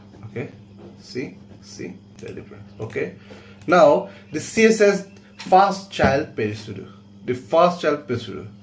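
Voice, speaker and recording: A man with a non-native accent at a fairly slow pace, very wide pitch swings, big swings in loudness, long, frequent pauses, and audible room echo. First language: not English. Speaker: coding teacher. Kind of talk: tutorial.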